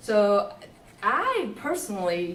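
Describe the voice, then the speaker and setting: A woman speaks at a fairly high pitch. Noticeable background noise and audible room echo are present. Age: 60s. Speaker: software developer in the audience. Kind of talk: audience discussion.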